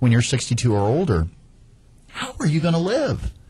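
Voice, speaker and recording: On a very clean recording with a silent background, a man with a dark, mellow tone talks at a fairly quick pace, somewhat breathy, his pitch swinging very widely. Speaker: radio host, real estate agent. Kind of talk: radio talk show. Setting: radio studio. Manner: fast.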